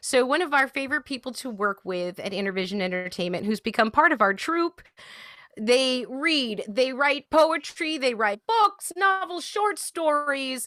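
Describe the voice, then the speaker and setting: Raised and projected, a woman's high-pitched voice makes very wide pitch swings in a dry, close sound with no echo. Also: moderate pace. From mixed English, Middle Eastern, Indian upbringing. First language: French. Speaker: show co-host. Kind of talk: casual chat. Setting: video call.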